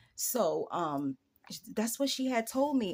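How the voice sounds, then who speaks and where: A woman speaks fairly slowly in a New York accent, with an animated tone and very wide pitch swings. The recording is very clean, with a silent background. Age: 40s. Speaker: YouTuber. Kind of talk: casual vlog monologue.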